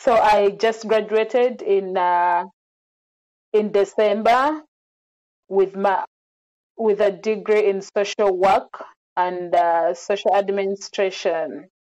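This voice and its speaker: Against a quiet background, a woman speaks at a very slow pace with long, frequent pauses, ordinary pitch variation and very even loudness. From Uganda, Central Region; Uganda. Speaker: social worker; interview guest. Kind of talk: interview. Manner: hesitant with fillers. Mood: calm, reflective. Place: home room. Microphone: earbuds.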